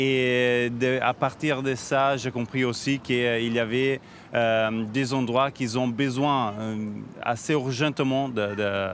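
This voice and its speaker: A man speaks very slowly with a slight Italian accent. His intonation stays fairly even. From Switzerland, Italian background. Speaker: NGO founder and CEO. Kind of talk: TV interview. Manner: halting, many fillers and restarts.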